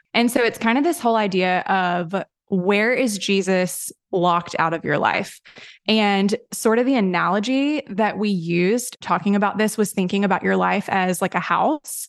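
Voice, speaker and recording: A woman with a Southern US accent, medium pitch, ordinary pitch variation and very even loudness, against a quiet background. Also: moderate pace. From Tennessee, US South. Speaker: digital marketing director. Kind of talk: casual chat.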